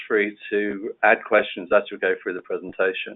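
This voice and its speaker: A man with a London accent speaks at a moderate pace. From London, England. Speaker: compliance solution consultant. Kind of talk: webinar presentation. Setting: online webinar.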